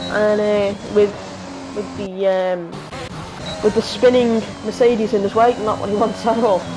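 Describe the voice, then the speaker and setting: A woman with a Liverpool accent, over noticeable background noise. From northern England, Liverpool. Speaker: sim racing commentator. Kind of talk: live commentary. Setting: live stream. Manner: animated; halting, many fillers.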